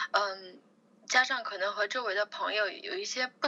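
Over noticeable background noise, a woman talks at a moderate pace with a fairly high voice that swings very widely in pitch. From China, Chongqing. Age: 20s. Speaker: fitness enthusiast, bikini competitor. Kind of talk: interview.

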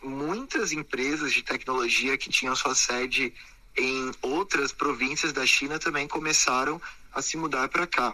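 In a normal speaking voice, a man talks with fairly even intonation. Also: fairly high pitch for a man, fairly slow pace. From Brazil, São Paulo state (Sorocaba). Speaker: entrepreneur and TV personality. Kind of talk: interview.

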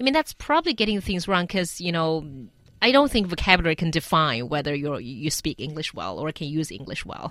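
In a Chinese accent, a woman speaks at a fairly low pitch and a fairly quick pace with lively intonation, on a very clean recording with a silent background. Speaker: radio host. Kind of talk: radio panel discussion.

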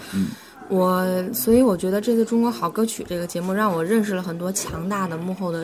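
A woman at medium pitch talks fairly quickly with ordinary pitch variation, with noticeable background noise and audible room echo. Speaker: jazz singer. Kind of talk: casual chat. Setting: coffee shop. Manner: halting, many fillers.

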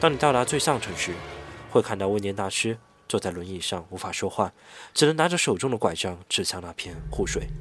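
Vocal fry marks the fairly low voice of a man talking at a fairly quick pace with lively intonation. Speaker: podcast host. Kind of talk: scripted narration; casual chat.

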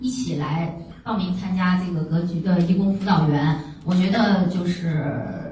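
A woman speaks fairly slowly at a medium pitch. Room echo is audible, and there is noticeable background noise. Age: 40s. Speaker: student sharing experience at investment course event. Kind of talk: testimony. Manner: halting.

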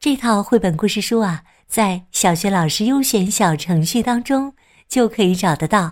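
In a very clean recording with a silent background, the speaker uses a warm, gentle tone and lively intonation at a fairly slow pace, keeping loudness very even. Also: woman, medium pitch for a woman. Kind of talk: fairy-tale narration for young children, with character dialogue.

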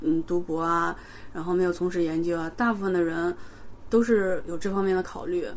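A woman speaks in an ordinary speaking voice at a medium pitch, with ordinary pitch variation. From China, Xi'an. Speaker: postdoctoral chemistry researcher. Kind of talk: interview.

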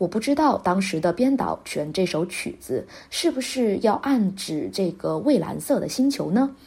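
A woman's dark, mellow tone at medium pitch, with vocal fry, very wide pitch swings, a fairly slow pace and hardly any pauses. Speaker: music podcast host. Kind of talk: scripted narration.

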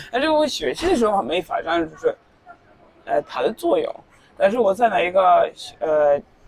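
A woman speaks at a moderate pace, leaving long, frequent pauses, with noticeable background noise behind her. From Norway (Tromsø). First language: Norwegian (speaking Chinese). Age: 20s. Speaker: university student. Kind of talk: casual interview. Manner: halting. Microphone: poor recording quality.

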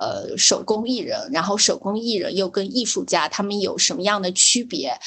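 A woman speaks at a moderate pace in a plain, everyday voice, her fairly high pitch carried by lively intonation. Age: young. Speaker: podcast co-host. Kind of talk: casual chat.

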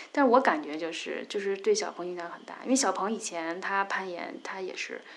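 The delivery comes at a moderate pace. It is an ordinary speaking voice. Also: woman. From Beijing. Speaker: rock climber. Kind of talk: casual interview.

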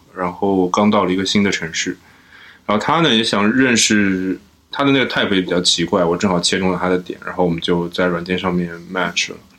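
The speech moves at a fairly quick pace. Pitch varies in an ordinary way. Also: man, very deep, low pitch for a man. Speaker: podcast guest. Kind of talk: casual chat.

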